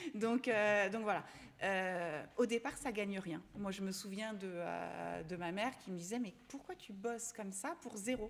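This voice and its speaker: Fairly slow delivery with ordinary pitch variation. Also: woman, medium pitch for a woman. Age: 40s. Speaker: fashion influencer. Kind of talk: interview answer. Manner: hesitant, casual.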